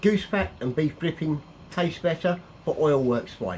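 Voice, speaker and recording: A man with a northern English accent, fairly high pitch, lively intonation and a fairly slow pace. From northern England. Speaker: cook. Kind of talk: cooking tutorial. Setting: home kitchen. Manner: casual, chatty.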